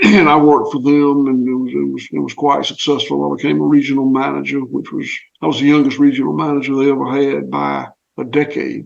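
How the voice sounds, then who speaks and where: A man with a Southern US accent at a very fast pace. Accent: Southern US (Georgia). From US South (southwest Georgia, Clay County). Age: 60s. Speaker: farmer. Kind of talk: interview.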